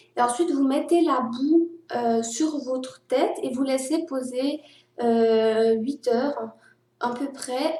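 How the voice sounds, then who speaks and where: A woman with a high pitch and a dark, mellow tone talks at a very slow pace with ordinary pitch variation. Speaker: vlogger. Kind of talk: personal vlog monologue.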